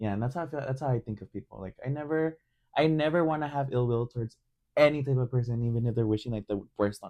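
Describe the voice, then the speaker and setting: A man with a Spanish accent talks at a very fast pace in a dark, mellow tone at medium pitch, his loudness swinging widely, with a dry, close sound and no echo against a quiet background. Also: ordinary pitch variation. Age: 20s. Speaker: podcast host. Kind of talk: casual chat.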